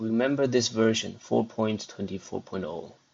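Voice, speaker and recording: Speaking at a fairly quick pace with a non-native accent, a man holds a medium pitch with ordinary pitch variation. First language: not English. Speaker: programming tutorial host. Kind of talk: screen-recorded coding tutorial.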